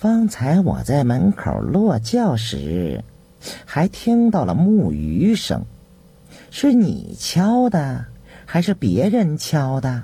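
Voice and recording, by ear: In a put-on character voice, a man speaks slowly at a medium pitch with very wide pitch swings, a dark, mellow tone, a husky, rough edge and vocal fry.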